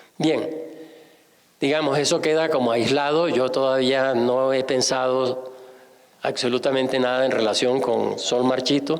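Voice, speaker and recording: A man's medium-pitched voice at a fairly slow pace, monotone and flat in intonation, with very even loudness, audible room echo and noticeable background noise. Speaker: novelist and art historian. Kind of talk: public conversation at book launch. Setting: museum event with audience. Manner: halting, with fillers and self-corrections.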